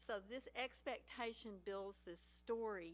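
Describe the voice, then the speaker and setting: A woman speaks with a Texas accent. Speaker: panel speaker. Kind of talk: panel talk. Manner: animated.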